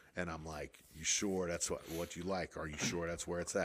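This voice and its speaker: A bright, sharp tone at a fairly quick pace, on a very clean recording with a silent background. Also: man. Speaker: musician. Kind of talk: casual chat.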